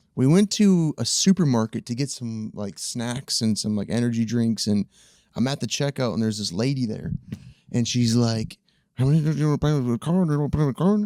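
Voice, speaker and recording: With a Wisconsin accent, the speaker talks at a fairly quick pace in a dark, mellow tone with lively intonation, in a very clean, dry, close recording with no echo and a silent background. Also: man, medium pitch for a man. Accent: northern US (Wisconsin). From central Wisconsin (Chippewa Falls). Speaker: cameraman and video editor, former bodybuilder. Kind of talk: casual chat.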